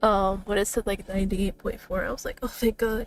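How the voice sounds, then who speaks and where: Music plays behind a woman with an American accent who speaks at a fairly quick pace in a monotone, flat intonation. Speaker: gaming streamer. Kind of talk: live stream chat. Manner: halting with repeated words.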